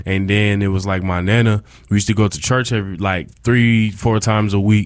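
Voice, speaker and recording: A man with an American accent has a normal speaking voice and a fairly low pitch. He moves at a fairly quick pace with fairly even intonation. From upstate New York (Rochester). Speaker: college student and campus DJ. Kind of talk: casual interview.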